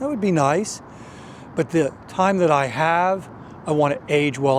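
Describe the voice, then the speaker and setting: Lively intonation runs through a man's fairly high-pitched, normal speaking voice. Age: 60s. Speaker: fitness video host. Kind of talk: talking-head explainer.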